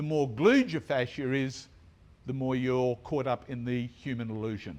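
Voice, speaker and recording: A man speaks in a plain, everyday voice at a medium pitch. His intonation stays fairly even, and his pace is moderate. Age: 60s. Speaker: tarot teacher and bodyworker. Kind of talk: conference talk. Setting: stage with audience, no microphone. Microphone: speaking without a microphone.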